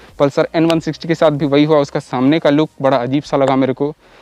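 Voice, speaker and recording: A man speaks in an unremarkable speaking voice, pitched fairly high. His intonation stays fairly even, and the sound is dry and close with no echo. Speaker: motorcycle YouTuber. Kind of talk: casual vlog review. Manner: casual, conversational.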